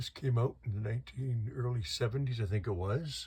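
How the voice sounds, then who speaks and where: Somewhat breathy speech with lively intonation at a moderate pace, on a very clean recording with a silent background. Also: man. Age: 60s. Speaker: collector. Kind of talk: casual video tour of collection. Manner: casual, halting.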